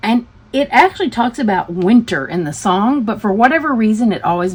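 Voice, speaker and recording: A woman's normal speaking voice with an American accent, fairly high pitch and lively intonation. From US South, Tennessee. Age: 60s. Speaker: craft hobby YouTuber. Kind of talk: casual chat.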